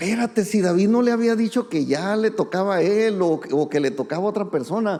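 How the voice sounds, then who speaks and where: His tone is dark and mellow. The man's pitch is high, and his intonation is lively. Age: 60s. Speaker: pastor. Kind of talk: sermon. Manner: conversational.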